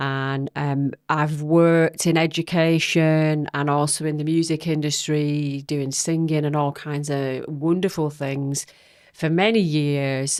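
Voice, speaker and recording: A woman with an American accent, very deep and low in pitch, with fairly even intonation at a very slow pace. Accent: northern English, may sound American to some. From northern England, Wigan. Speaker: singer and vocal coach, family carer. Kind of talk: podcast interview.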